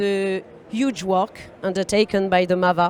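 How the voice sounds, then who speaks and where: A very slow delivery in a French accent. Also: woman. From France. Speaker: panel facilitator. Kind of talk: conference panel introduction. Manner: halting, many fillers.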